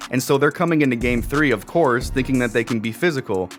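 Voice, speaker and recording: A man with an American accent and a medium pitch, a very fast pace, ordinary pitch variation, and music in the background. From Minnesota. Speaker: sports YouTuber, basketball commentator. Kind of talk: casual sports recap talk to camera.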